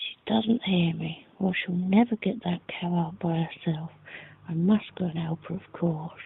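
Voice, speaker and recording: A soft-spoken woman whispering at a very slow pace. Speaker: ASMR reader. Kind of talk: softly spoken audiobook reading for relaxation. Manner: soft-spoken, whispered.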